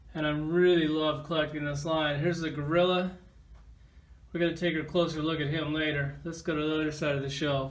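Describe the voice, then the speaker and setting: Speaking at a fairly quick pace in a fairly high pitch, a man keeps a monotone, flat intonation amid audible room echo. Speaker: toy collector reviewer. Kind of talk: casual toy review. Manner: casual, conversational.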